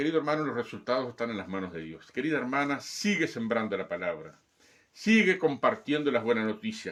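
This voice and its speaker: Against a silent background in a very clean recording, a man of medium pitch talks at a fairly quick pace, his pitch swinging very widely and his loudness rising and falling sharply. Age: 60s. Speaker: pastor. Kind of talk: sermon. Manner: emphatic, repetitive exhortation.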